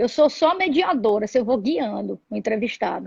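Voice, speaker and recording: A woman at a moderate pace with lively intonation, in a dry, close sound with no echo. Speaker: interview show host. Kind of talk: casual interview.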